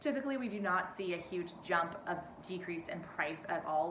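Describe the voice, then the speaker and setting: A fairly quick pace with ordinary pitch variation, plus noticeable background noise and audible room echo. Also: woman. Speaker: real estate agent. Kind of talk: market update video. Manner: fast; casual, chatty.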